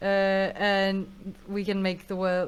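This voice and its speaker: A woman speaks at a medium pitch with a Russian accent. The recording is very clean, with a silent background. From Russia, Moscow. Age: young. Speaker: musician. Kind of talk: interview.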